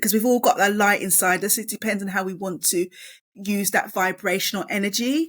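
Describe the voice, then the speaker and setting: In a very clean recording with a silent background, a woman speaks at a moderate pace. Her pitch is medium and varies in an ordinary way. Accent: London. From East London. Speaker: author and education professional. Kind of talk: podcast interview. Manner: halting.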